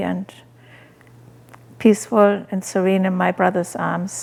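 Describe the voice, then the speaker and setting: A woman with a German accent, medium pitch, and a fairly slow pace. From Germany. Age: 80s+. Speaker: animal rights activist and author. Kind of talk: personal life story interview.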